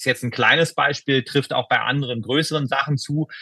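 At a fairly quick pace, a man with a fairly high, bright, sharp voice speaks with fairly even intonation, the sound dry and close with no echo. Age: 40s. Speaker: member of parliament and emergency physician. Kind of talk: interview. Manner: formal.

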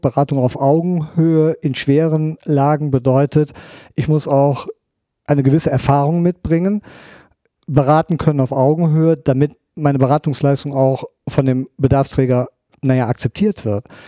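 Dry and close with no echo, the recording captures a man of fairly high pitch and dark, mellow tone talking at a moderate pace with fairly even intonation. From Rhineland, Germany. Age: 50s. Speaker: police criminal profiler. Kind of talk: interview.

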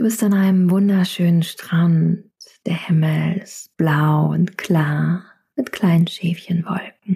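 Her fairly low voice soothing and calm, a woman speaks at a very slow pace with fairly even intonation. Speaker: yoga teacher and meditation guide. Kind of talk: guided meditation. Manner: slow, soothing, calm; soft-spoken, gentle.

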